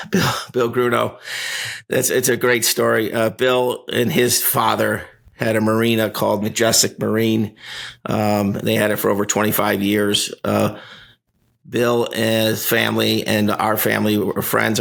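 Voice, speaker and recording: At a moderate pace, a man talks with very even loudness. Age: 60s. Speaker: company executive. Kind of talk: casual interview. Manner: halting, many fillers.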